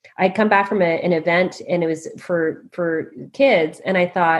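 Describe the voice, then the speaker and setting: A woman speaks with a Canadian accent. Noticeable background noise runs underneath. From Canada. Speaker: leadership coach and author. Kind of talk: interview.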